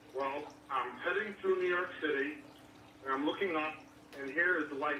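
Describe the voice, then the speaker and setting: Against noticeable background noise and audible room echo, a man speaks at a fairly high pitch with fairly even intonation. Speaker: caller. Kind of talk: phone-in call. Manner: fast.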